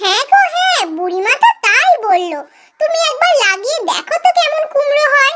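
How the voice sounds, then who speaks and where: A woman's cartoonish character voice, squeaky and extremely high-pitched, with very wide pitch swings at a moderate pace. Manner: warm, affectionate.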